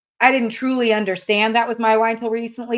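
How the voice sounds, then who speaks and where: A woman's monotone, flat intonation. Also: quiet background. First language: German. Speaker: sales coach. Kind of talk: podcast interview.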